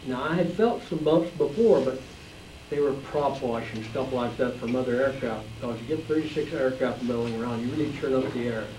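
A man at a moderate pace and medium pitch, with ordinary pitch variation, light background noise and audible room echo. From Utah. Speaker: war veteran. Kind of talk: talk to audience. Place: classroom.

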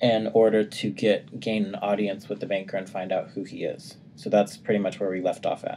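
A natural reading voice is heard. The speaker reads aloud.

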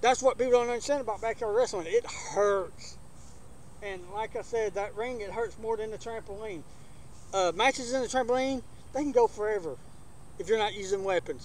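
A man with an Alabama accent and a high voice speaks fairly quickly with ordinary pitch variation, in a dry sound with no echo and light background noise. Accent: Southern US (Alabama). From US South, Alabama. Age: 40s. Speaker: backyard wrestling channel host. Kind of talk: casual vlog talk to camera; casual vlog chat. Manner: casual, hesitant with many fillers. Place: garden.

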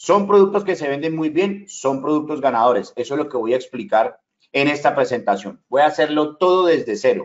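A man talks at a fairly quick pace and fairly high pitch. His intonation is lively against a quiet background. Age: 40s. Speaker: online business trainer. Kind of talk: sales pitch. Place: home room.

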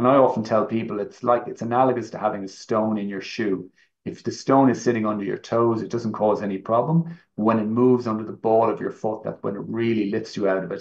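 In an Irish accent, a man talks at a fairly quick pace with hardly any pauses and fairly even intonation. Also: medium pitch for a man. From Ireland. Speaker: orthopaedic knee surgeon, professor; professor. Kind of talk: medical presentation. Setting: online live event. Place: home room. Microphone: webcam.

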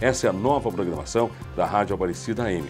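Over clear music in the background, a man speaks at a fairly quick pace with very wide pitch swings. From Brazil. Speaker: radio programming coordinator and announcer. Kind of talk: radio promo announcement. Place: studio. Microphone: lapel.

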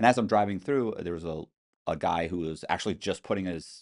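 Against a quiet background, a man with a very deep, low pitch talks at a very fast pace. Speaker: podcast guest. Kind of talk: interview answer. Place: studio. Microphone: studio mic.

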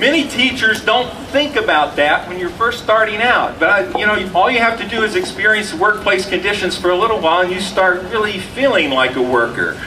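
A man projects a raised voice over noticeable background noise. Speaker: rally emcee and education academic. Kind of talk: rally speech. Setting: outdoor rally with audience. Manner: hesitant, searching for words.

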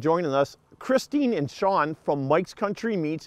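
In a dry recording with no echo and a quiet background, a man speaks at a moderate pace with lively intonation. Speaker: fishing show host. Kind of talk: show intro to camera. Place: studio.

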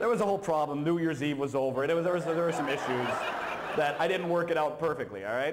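A man speaks very fast while noticeable background noise carries on behind him. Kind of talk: humorous talk at a conference. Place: hall. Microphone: handheld.

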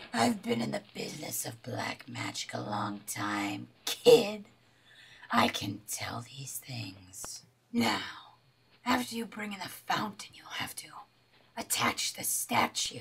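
The speaker whispers in a put-on character voice. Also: fairly slow pace. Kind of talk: amateur comic sketch acting. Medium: comedy sketch. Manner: knowing, casual, a bit condescending.

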